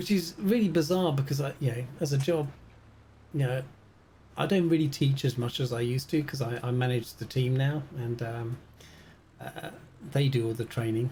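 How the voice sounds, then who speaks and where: The voice has a dark, mellow tone and a British accent. Long, frequent pauses run through the speech. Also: man, medium pitch for a man, ordinary pitch variation, moderate pace. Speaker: flight sim game streamer. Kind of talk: live gaming stream chat. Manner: loud; casual, hesitant with many fillers.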